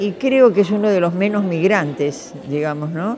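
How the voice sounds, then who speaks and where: Against crowd noise and audible room echo, a woman with a fairly low pitch speaks fairly slowly with lively intonation. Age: 80s+. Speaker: retired teacher and educator. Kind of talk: interview testimony. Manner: hesitant, many fillers.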